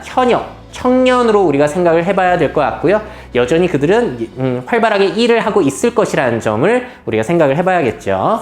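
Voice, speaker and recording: A man with a high voice talks at a moderate pace, his pitch swinging very widely. Audible room echo and noticeable background noise surround him. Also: very even loudness. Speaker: futurist lecturer. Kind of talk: lecture.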